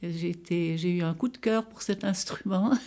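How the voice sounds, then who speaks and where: Set against a very clean recording with a silent background, a dark, mellow tone moves at a fairly slow pace with ordinary pitch variation. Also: woman. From Gruyère, French-speaking Switzerland. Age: 80s. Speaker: retired nurse and amateur zither player. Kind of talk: personal interview testimony. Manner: halting, with many repetitions.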